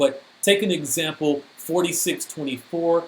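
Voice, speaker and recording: With a normal speaking voice, this man talks at a moderate pace in a fairly high pitch, his intonation fairly even. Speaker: cybersecurity speaker. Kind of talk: technical presentation.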